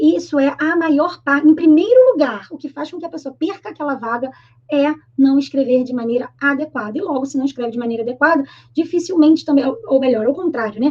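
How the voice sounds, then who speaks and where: A woman's high-pitched voice with a Brazilian accent, fairly quick pace, ordinary pitch variation and big swings in loudness. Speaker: Portuguese teacher. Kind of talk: online grammar lesson. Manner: fast; informal, colloquial.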